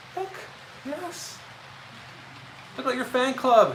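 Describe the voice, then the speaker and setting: At a moderate pace, a man speaks amid audible room echo and noticeable background noise. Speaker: model railroad hobbyist. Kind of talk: casual chat. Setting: train room at home, livestream.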